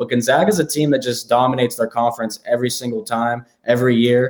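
A man talks at a very fast pace. He has an American accent and a medium pitch. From Pittsburgh area, Pennsylvania. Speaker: sports betting analyst. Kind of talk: casual sports betting chat.

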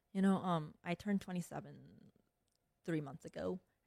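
A woman talks at a moderate pace with a Korean accent. The sound is dry and close with no echo. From South Korea, moved to Chicago at ten. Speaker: managing partner at a private equity firm, army veteran. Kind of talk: interview.

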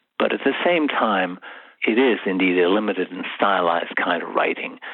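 Moderately paced speech from a man amid noticeable background noise. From England. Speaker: contract drafting consultant and author. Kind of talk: interview.

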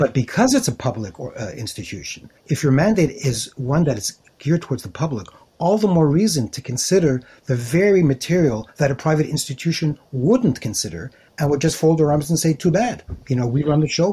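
A man's dark, mellow, somewhat breathy voice with a Montreal accent, fairly high pitch, lively intonation and a fairly quick pace. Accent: Montreal English (Canadian). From Montreal, Quebec. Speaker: author and writer in residence. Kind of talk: casual chat. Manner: halting.

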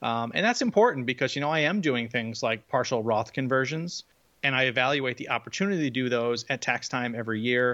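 Against a quiet background, a man speaks at a fairly quick pace in a bright, sharp tone. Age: 40s. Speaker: early retiree, podcast co-host. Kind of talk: casual chat.

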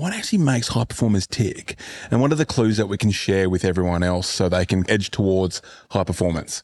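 In an unremarkable speaking voice, a man talks at a fairly quick pace and fairly low pitch with ordinary pitch variation, the sound dry and close with no echo. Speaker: podcast host and fitness business coach. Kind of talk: casual interview. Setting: on location at a fitness retreat. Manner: casual, profane.

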